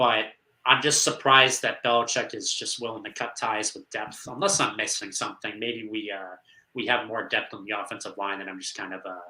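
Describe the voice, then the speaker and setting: Speaking fairly quickly, a man with a normal speaking voice at medium pitch keeps fairly even intonation but shows big swings in loudness. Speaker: sports podcast host. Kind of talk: casual sports analysis chat.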